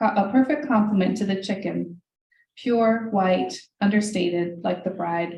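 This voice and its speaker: Somewhat breathy and dark, mellow in tone, a woman talks at a fairly slow pace with ordinary pitch variation. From US, Hungarian-American family. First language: Hungarian. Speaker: author. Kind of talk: reading aloud.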